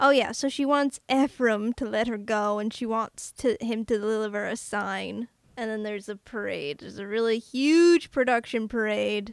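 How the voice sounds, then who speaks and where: An unremarkable speaking voice moves at a moderate pace with hardly any pauses, ordinary pitch variation and big swings in loudness. The sound is dry and close with no echo, in a very clean recording with a silent background. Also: woman, fairly high pitch for a woman. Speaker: podcast host. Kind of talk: casual chat.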